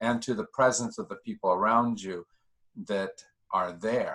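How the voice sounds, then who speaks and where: A man with a plain, everyday voice talks at a moderate pace and medium pitch in a very clean recording with a silent background. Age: 60s. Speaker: discussion group leader. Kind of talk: group discussion.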